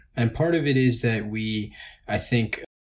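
The background is silent and the recording very clean. A man's voice comes through somewhat breathy. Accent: American. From Long Island, New York. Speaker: plastic surgery resident. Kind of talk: interview.

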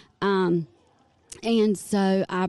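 Against a quiet background, someone speaks in a dark, mellow tone with a Southern US accent. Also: woman. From North Carolina. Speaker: hairstylist and salon owner. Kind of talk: casual interview chat.

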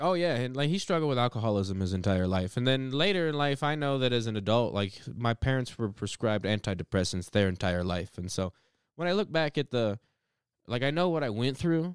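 In a very clean recording with a silent background, a man with an American accent talks at a fairly quick pace, his medium pitch swinging very widely. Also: dry, close sound with no echo. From Colorado Springs, US. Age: 30s. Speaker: comedian. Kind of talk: casual chat. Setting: home studio.

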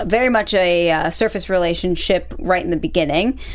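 A woman speaks at a fairly quick pace. Hers is an unremarkable speaking voice, fairly low in pitch. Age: 20s. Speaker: TV aftershow podcast host. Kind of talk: casual chat.

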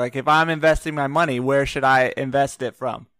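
On a very clean recording with a silent background, a man with a plain, everyday voice speaks at a moderate pace, fairly high in pitch and with fairly even intonation. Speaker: podcast co-host. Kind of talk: casual chat.

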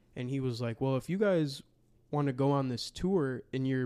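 With an American accent, a man speaks in an ordinary speaking voice at a medium pitch with ordinary pitch variation, on a very clean recording with a silent background. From Wisconsin. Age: 20s. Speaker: podcast host and basketball creator. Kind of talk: casual chat.

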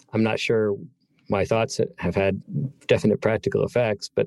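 With an American accent, a man with a plain, everyday voice and medium pitch talks at a fairly quick pace over a quiet background, the sound dry and close with no echo. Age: 50s. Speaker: author and magazine writer. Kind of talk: interview conversation.

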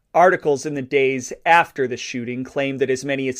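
With a quiet background, a man with a fairly high pitch talks in an unremarkable speaking voice. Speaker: podcast host and mob historian. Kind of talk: true-crime narration; scripted-style historical narration. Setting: podcast recording. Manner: measured, serious storytelling cadence, reading newspaper accounts with grave, even tone.

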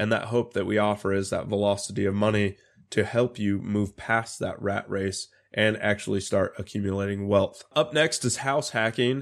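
Very clean, with a silent background, the recording captures a man speaking at a moderate pace and a fairly low pitch. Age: 30s. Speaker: real estate broker. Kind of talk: casual talk on real estate. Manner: animated.

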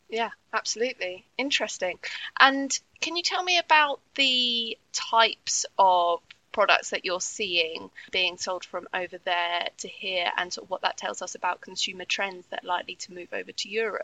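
A woman with a British accent speaks at a moderate pace and medium pitch. Her intonation is lively, and her loudness swings a lot. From UK. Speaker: trade magazine editor and podcast host. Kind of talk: interview.

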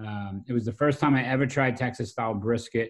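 Here a man with a Brooklyn accent speaks at a medium pitch. His intonation is fairly even. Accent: New York (Brooklyn). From US Northeast, South Brooklyn, New York. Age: 40s. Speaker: restaurant owner and pit master. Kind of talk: casual interview conversation.

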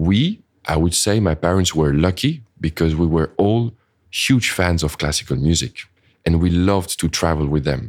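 Pitched very deep and low, a man with a French accent speaks at a moderate pace with ordinary pitch variation. The recording is very clean, with a silent background. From France or French-speaking Switzerland. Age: 30s. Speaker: orchestra conductor. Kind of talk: interview. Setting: recorded in a shop.

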